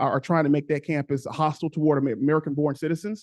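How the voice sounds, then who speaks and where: The sound is dry and close, with no echo. A man speaks at a very fast pace in a fairly high pitch, intonation fairly even. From Cincinnati, Ohio, US Midwest. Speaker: public commenter, former student. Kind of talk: public comment at board meeting. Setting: board meeting. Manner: halting, many fillers and repeats.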